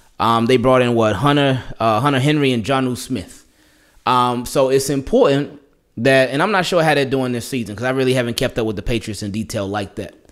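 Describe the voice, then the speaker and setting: A man's animated tone at a fairly quick pace, with ordinary pitch variation and a quiet background. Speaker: sports YouTuber. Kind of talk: sports preview monologue. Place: home room. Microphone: studio mic.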